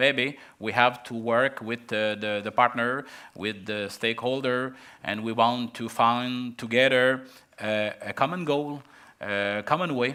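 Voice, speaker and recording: On a very clean recording with a silent background, a man with a French accent talks at a fairly slow pace in a bright, sharp tone with fairly even intonation. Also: medium pitch for a man. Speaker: local development official. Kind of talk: panel discussion. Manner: halting.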